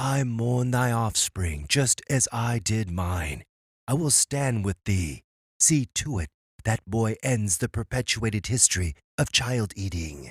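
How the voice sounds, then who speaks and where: On a very clean recording with a silent background, a man does a cartoonish character voice at medium pitch and a fairly slow pace. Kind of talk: archaic mythic speech. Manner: solemn, measured.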